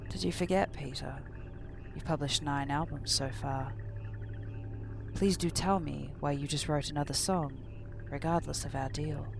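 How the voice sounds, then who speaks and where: A man speaks at a moderate pace in a put-on character voice. Loud background noise sits behind him. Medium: read story. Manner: smooth, courteous menace.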